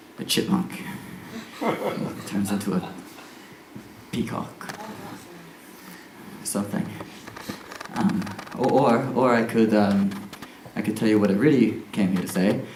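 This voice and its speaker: Speaking at a very slow pace with long, frequent pauses, a man uses ordinary pitch variation while noticeable background noise plays behind him. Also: fairly low pitch for a man. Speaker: circus acrobat and performer. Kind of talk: live one-man stage show, talking to audience. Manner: casual, hesitant, comic.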